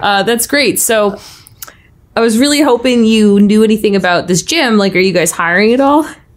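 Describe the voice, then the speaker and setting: A woman with an unremarkable speaking voice talks at a moderate pace and fairly high pitch, her intonation lively and her loudness very even. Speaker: player in role-playing game. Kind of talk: casual tabletop RPG chat.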